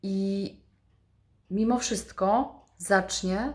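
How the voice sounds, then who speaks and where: The woman speaking sounds somewhat breathy. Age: 40s. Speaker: vlogger. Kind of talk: motivational monologue.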